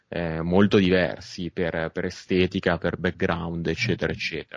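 A man speaks with a very deep, low pitch. The background is quiet. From Milan, northern Italy. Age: 30s. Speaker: film director. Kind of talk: interview.

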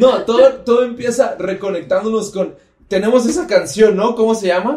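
A man with a central Mexican accent speaks at a moderate pace, his high voice animated and his intonation lively. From Mexico, Estado de México. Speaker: podcast host, church member. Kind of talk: casual chat with faith teaching.

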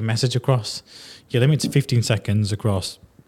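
This man has a Yorkshire accent and a somewhat breathy voice. He speaks at a moderate pace on a very clean recording with a silent background. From northern England. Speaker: podcast host. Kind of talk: casual interview chat.

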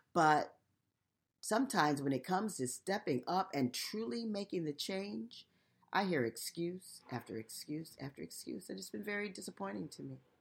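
Vocal fry runs through speech at a moderate pace with very wide pitch swings. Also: woman, fairly low pitch for a woman. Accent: American. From United States. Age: 60s. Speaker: podcast host and nonprofit founder. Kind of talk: solo podcast monologue.

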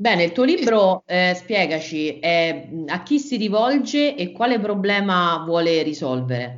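Speaking very slowly with hardly any pauses, a woman uses a fairly low pitch that swings very widely. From Rome, Italy. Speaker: podcast host, marketing consultant. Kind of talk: interview.

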